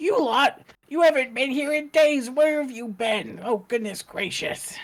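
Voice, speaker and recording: In a put-on character voice, the speaker sounds raspy and high-pitched while keeping a moderate pace. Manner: scolding, exasperated.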